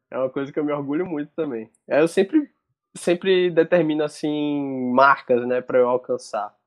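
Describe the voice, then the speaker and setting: A man talks at a moderate pace in an ordinary speaking voice, fairly high in pitch, with ordinary pitch variation. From Salvador, Bahia, Brazil. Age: 20s. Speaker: sports journalist and basketball social media creator. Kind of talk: casual interview chat.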